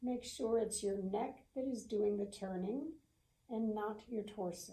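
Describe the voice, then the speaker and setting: A woman with an American accent speaks fairly slowly at a fairly high pitch, with ordinary pitch variation and a calm, gentle tone that is dark, mellow and somewhat breathy. Audible room echo surrounds her voice. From US South. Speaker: yoga instructor. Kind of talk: guided yoga class. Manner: slow, gentle.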